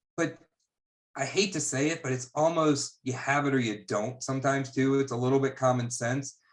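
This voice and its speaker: Speaking at a fairly quick pace, a man uses a medium pitch and fairly even intonation. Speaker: investment banker. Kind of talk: casual chat. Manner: fast.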